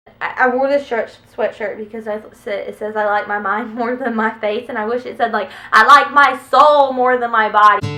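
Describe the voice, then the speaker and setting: Over music in the background, a woman speaks at a moderate pace in a fairly high voice, her intonation fairly even while her loudness swings widely. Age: 20s. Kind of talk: casual talk to camera. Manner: occasional stutter.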